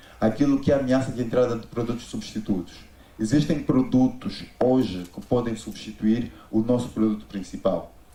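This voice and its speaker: This man's dark, mellow tone sits at medium pitch with ordinary pitch variation. He keeps a moderate pace, and room echo is audible. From Angola. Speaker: business consultant. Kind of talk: conference talk.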